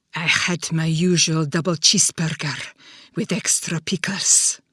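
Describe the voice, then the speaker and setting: A woman's put-on character voice, husky and fairly low, at a moderate pace with fairly even intonation. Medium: read story. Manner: fearful, superstitious.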